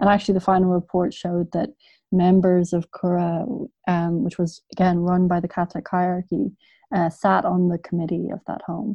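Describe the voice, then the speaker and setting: A woman with a Dublin accent talks at a moderate pace in a fairly low voice, her intonation fairly even. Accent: Dublin Irish. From Ireland, Dublin. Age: 30s. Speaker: journalist and author. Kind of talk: interview. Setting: video call. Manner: halting, frequent fillers.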